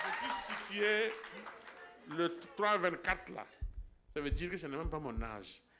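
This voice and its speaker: A high-pitched man with lively intonation and long, frequent pauses, amid audible room echo and crowd noise in the background. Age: 60s. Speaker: church member giving healing testimony. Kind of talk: testimony. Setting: church. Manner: halting.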